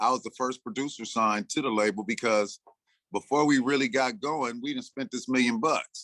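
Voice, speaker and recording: Recorded dry and close with no echo, a man speaks in a bright, sharp tone at a medium pitch, with ordinary pitch variation and a moderate pace. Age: 60s. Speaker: music producer. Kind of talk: interview. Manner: casual, animated.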